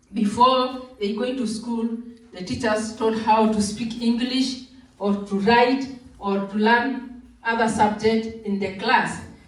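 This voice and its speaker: Very slow and monotone, a woman speaks at a fairly high pitch with flat intonation, noticeable background noise and audible room echo. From Kenya. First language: Maa. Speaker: Maasai community delegate. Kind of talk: cultural presentation.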